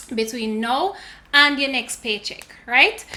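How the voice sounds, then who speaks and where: The speaker has a Jamaican accent and a fairly slow pace. Background noise is noticeable. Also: woman. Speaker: lifestyle and finance YouTuber. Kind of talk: casual tutorial vlog.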